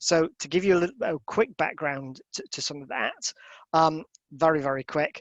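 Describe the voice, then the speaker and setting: This man talks at a moderate pace with a Yorkshire accent. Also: fairly high pitch for a man, ordinary pitch variation. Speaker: professor. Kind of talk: online lecture. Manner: halting, many fillers and repeated words. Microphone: dodgy internet connection, audio may go funny.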